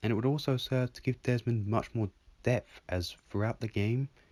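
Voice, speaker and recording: Recorded very cleanly against a silent background, a man with an English accent speaks in a dark, mellow tone, the sound dry and close with no echo. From England. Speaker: video game commentator. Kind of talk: scripted narration.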